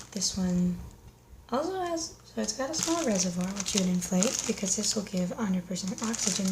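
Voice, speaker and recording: This woman's voice sits at a medium pitch. There is noticeable background noise behind her. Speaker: paramedic / emergency medical ASMR creator. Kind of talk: ASMR unboxing, casual talk to camera. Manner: casual, conversational, slightly humorous.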